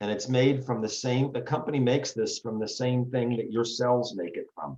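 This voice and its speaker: Here is a man with a plain, everyday voice at medium pitch. His pace is moderate and his intonation fairly even. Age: 60s. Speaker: retired foot surgeon, product promoter. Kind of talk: interview presentation. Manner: short sentences with pauses for translation. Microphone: laggy connection.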